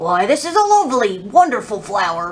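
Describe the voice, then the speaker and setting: A woman does a put-on character voice at a fairly quick pace. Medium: read story.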